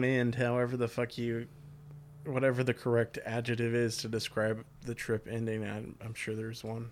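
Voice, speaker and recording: A man's unremarkable speaking voice at a medium pitch and moderate pace, on a very clean recording with a silent background. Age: 20s. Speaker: podcaster in addiction recovery. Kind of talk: casual interview, recovery testimony.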